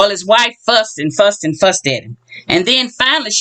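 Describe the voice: The recording is plain reading aloud, set against a quiet background.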